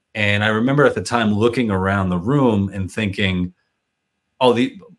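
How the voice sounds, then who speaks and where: A man's normal speaking voice at a fairly low pitch, moderate pace, and ordinary pitch variation, in a very clean recording with a silent background. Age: 40s. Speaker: podcast host. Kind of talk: podcast interview. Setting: podcast.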